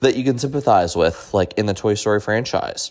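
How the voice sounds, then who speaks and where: A man's fairly low pitch with ordinary pitch variation. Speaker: solo podcast host. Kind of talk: casual monologue. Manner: hesitant with frequent filler 'um'.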